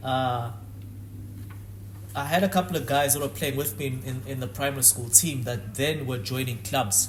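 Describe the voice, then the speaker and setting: A man of medium pitch speaks at a moderate pace with ordinary pitch variation and long, frequent pauses, amid noticeable background noise and audible room echo. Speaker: former professional footballer. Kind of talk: podcast interview.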